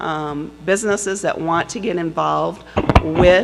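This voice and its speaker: With noticeable noise behind her, a woman talks fairly slowly. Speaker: workforce services coordinator. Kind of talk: conference panel presentation.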